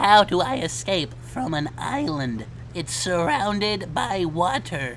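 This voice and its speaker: Fairly slow speech over clear background noise. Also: man, fairly high pitch for a man. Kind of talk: comic parody dub. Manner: whiny, nervous.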